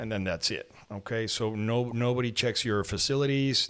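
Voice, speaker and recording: Over a silent background in a very clean recording, a man with a Spanish accent talks at a moderate pace with fairly even intonation. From Mexico, partly raised in Lima, Peru. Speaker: falconer and plastic surgeon. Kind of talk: interview. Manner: halting, many repetitions.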